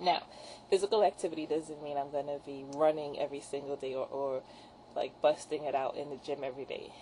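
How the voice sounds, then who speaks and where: Very fast and very deep, a woman's low voice carries a dark, mellow tone. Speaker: fitness vlogger. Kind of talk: casual video diary. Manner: hesitant, many fillers.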